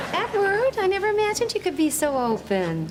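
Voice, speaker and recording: A woman's squeaky, put-on character voice at an extremely high pitch and fairly quick pace, over loud background noise. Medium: short film. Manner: earnest, warm.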